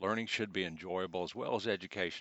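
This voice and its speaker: A man talks with a fairly low pitch. His pitch varies in an ordinary way. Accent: Southern US. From US South. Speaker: computer class instructor. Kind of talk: tutorial.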